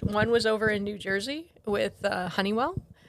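A woman with an American accent has an unremarkable speaking voice at a fairly high pitch. She keeps a moderate pace and fairly even intonation. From Ghana, then US Pacific Northwest. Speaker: missionary. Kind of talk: casual interview, faith testimony. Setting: home office.

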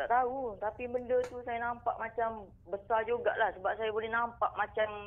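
A man with a Kelantan accent talks at a moderate pace in a high voice, his intonation fairly even. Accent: Kelantanese Malay. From Kelantan, Malaysia. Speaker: caller. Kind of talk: casual storytelling of a personal ghost experience. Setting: phone call. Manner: halting, with many fillers.

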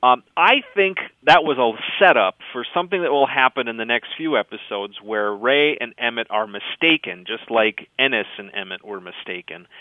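Speaking with a northern Minnesota accent, a man uses lively intonation at a medium pitch. His pace is moderate, with big swings in loudness. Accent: Minnesotan, northern Minnesota. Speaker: writer and radio producer. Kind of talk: interview.

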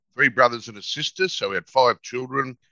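A man talks in a bright, sharp tone. The sound is dry and close, with no echo. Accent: Australian. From North Queensland, Australia. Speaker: psychologist and negotiator. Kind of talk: interview.

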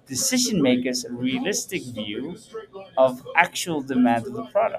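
A man speaks in a fairly high pitch with very wide pitch swings. Noticeable background noise can be heard. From Netherlands. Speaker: entrepreneur. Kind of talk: interview.

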